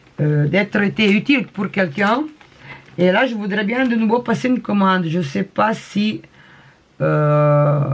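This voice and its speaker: With lively intonation and long, frequent pauses, a woman speaks fairly slowly at a medium pitch. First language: not French (speaking French). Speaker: crafting vlogger. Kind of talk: casual show-and-tell vlog. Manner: halting, many hesitations.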